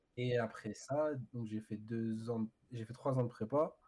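Speaking at a fairly slow pace, a man has a dark, mellow tone and fairly even intonation. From Paris area, France (Ivry). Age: 20s. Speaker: maths teacher. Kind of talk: casual chat. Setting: livestream.

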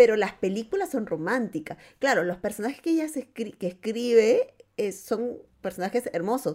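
Her voice is fairly high in pitch with a dark, mellow tone. The woman's intonation is lively. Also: moderate pace. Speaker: podcast co-host. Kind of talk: casual chat.

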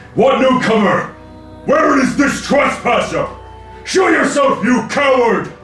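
Over clear music in the background, a man uses a put-on character voice at an extremely high pitch, at a fairly slow pace, with slight echo.

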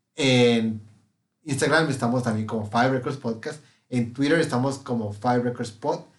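A man speaks in a Mexican accent at a moderate pace. His intonation is fairly even. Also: medium pitch for a man. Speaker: podcast host. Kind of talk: casual chat.

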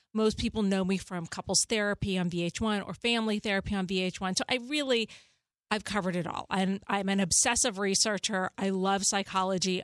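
A woman speaks in a normal speaking voice at medium pitch, fairly quick and with fairly even intonation. The sound is dry and close with no echo, over a quiet background. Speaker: therapist and author. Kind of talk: advice conversation. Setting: studio.

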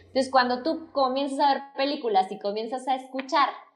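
High pitch from a woman, with ordinary variation in that pitch. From Mexico. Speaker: former university professor. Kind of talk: casual interview chat.

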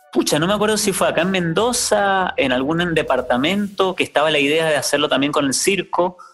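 A high-pitched man with lively intonation at a fairly quick pace, hardly any pauses and very even loudness, music playing in the background. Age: 40s. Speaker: actor and clown. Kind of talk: interview storytelling.

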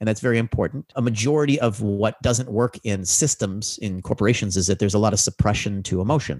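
At a very fast pace with hardly any pauses, a man with an American accent speaks in a fairly low voice with ordinary pitch variation, the sound dry and close with no echo. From US Midwest, Chicago. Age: 40s. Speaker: business mentor and author. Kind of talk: interview conversation.

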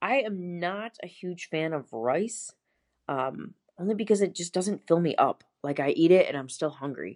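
A woman with an American accent talks at a moderate pace in a normal speaking voice, fairly low in pitch. Her intonation is lively, and the background is quiet. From Buffalo, New York. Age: 30s. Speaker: pharmacist and bikini competitor. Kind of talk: casual interview.

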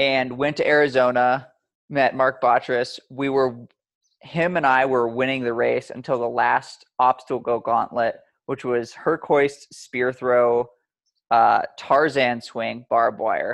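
In an American accent, a man talks at a very slow pace and a medium pitch. His intonation is monotone and flat, and the background is quiet. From Montana, US. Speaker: obstacle course racer and endurance coach. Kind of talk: casual chat. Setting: outdoors.

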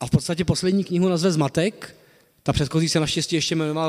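Talking very fast, the man keeps his fairly high voice at fairly even intonation. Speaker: historian, associate professor of modern Czech history. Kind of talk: lecture. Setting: lecture hall with audience.

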